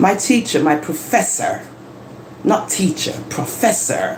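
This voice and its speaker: Noticeable background noise sits behind a voice with an animated tone. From London, England. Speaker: live-stream host. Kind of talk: live stream monologue. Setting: home live stream, living room.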